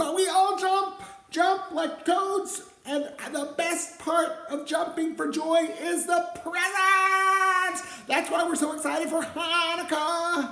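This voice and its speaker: A cartoonish character voice at an extremely high pitch moves at a fairly slow pace, with audible echo. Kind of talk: children's puppet show. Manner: upbeat.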